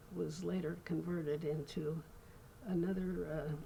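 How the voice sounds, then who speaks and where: A woman with an American accent speaks at a very slow pace in a very deep, low pitch. Her tone is dark and mellow, with vocal fry. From Redlands, California, USA. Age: 80s+. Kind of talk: interview answer.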